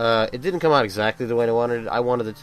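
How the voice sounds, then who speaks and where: A man mumbling at a very fast pace. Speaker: video game reviewer. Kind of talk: video commentary. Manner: halting, repeated words.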